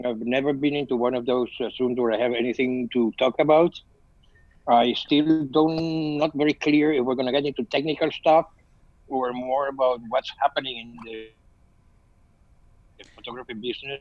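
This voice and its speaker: Speaking with a Spanish accent, a man uses a medium pitch, a moderate pace, and fairly even intonation, with long, frequent pauses. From Venezuela. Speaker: photographer. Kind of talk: video call chat. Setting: video call.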